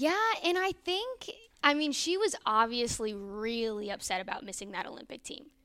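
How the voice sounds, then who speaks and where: A woman at a fairly high pitch with very wide pitch swings, big swings in loudness and a moderate pace, amid noticeable background noise. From Northern Virginia, DC area. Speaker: sports reporter, former college gymnast. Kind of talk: casual interview chat.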